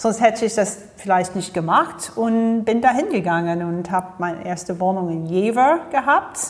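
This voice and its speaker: In an English accent, a woman with a medium-pitched voice talks at a moderate pace with lively intonation and hardly any pauses. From US, Florida. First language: English (speaking German). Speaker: leadership coach and speaker. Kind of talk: interview. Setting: studio.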